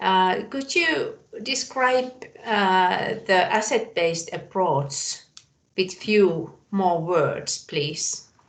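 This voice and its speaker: Using lively intonation, a woman with a non-native accent speaks at a very slow pace. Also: medium pitch for a woman. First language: not English. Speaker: webinar participant. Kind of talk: audience question. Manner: hesitant.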